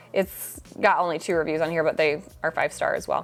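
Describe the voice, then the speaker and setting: A woman speaks in an animated tone. Music plays in the background. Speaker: interior design vlogger. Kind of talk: product roundup vlog. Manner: fast.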